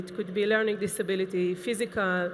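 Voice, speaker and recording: A woman with an Israeli accent at a medium pitch, very fast in pace and fairly even in intonation. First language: Hebrew. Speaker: assistive technology specialist. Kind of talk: conference lecture. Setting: conference stage with audience. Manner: hesitant, with fillers.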